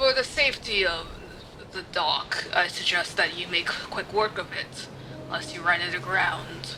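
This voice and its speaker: A woman uses a put-on, gruff character voice at a medium pitch. She speaks at a moderate pace over clear background noise. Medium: actual play. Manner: curt, formal.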